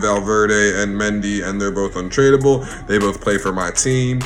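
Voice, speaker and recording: Over music in the background, a man speaks at a moderate pace with ordinary pitch variation and audible room echo. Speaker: gaming youtuber. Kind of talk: casual vlog talk. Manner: casual, with fillers.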